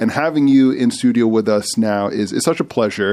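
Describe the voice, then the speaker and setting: A man's medium-pitched voice at a moderate pace, an ordinary speaking voice with ordinary pitch variation. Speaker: radio host. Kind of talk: radio interview host. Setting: studio.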